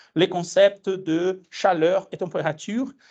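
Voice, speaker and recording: Speaking with a Brazilian accent, a man uses a high pitch with ordinary pitch variation. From Brazil, Minas Gerais. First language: Portuguese (speaking French). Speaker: physics education researcher, lecturer. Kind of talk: lecture. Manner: hesitant, many fillers.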